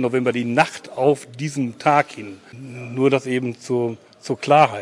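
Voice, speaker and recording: There is noticeable background noise in the recording. The man's pitch varies in an ordinary way. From Westphalia. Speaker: local memorial initiative organizer. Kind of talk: interview.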